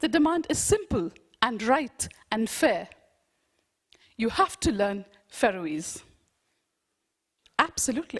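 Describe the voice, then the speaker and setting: A woman's fairly high voice with very wide pitch swings, at a fairly slow pace with long, frequent pauses. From India. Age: 50s. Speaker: education researcher. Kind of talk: conference lecture. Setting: conference with audience.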